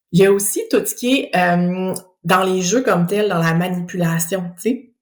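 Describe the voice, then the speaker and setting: Somewhat breathy, a woman speaks at a medium pitch and moderate pace with a Quebec accent and ordinary pitch variation. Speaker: speech-language pathologist. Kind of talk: educational podcast monologue. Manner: animated.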